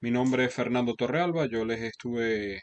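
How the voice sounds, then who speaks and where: A man with a Venezuelan accent, medium pitch and a fairly slow pace. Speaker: Excel instructor. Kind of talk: lecture. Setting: video call. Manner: halting.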